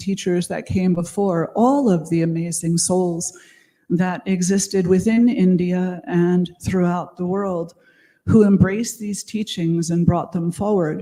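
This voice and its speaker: This woman has a medium pitch, an American accent, and a dark, mellow tone that is somewhat breathy. She speaks at a fairly slow pace with ordinary pitch variation on a very clean recording with a silent background. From United States. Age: 60s. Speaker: conference speaker, yoga and meditation teacher. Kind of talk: conference talk.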